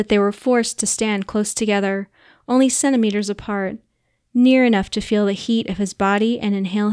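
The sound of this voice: The background stays quiet while an unforced reading voice is heard.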